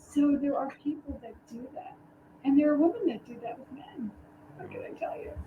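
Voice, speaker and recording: In a New York accent, the speaker's loudness swings widely. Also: woman, high pitch for a woman, lively intonation, moderate pace. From New York City (the Bronx). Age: 60s. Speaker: dating coach and wedding officiant. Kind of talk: casual chat.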